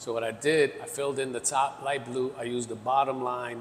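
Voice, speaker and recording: With a New York accent, a man talks fairly quickly at medium pitch over noticeable background noise. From New York City, the Bronx. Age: 50s. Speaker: graffiti artist. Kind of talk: casual interview chat.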